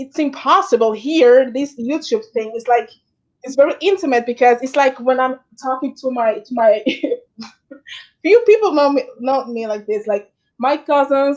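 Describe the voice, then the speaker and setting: In a Dominican accent, the speaker has an animated tone, a moderate pace, ordinary pitch variation and big swings in loudness. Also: woman, high pitch for a woman. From Dominican Republic. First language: Spanish. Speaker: YouTuber hosting live chat. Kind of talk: casual chat.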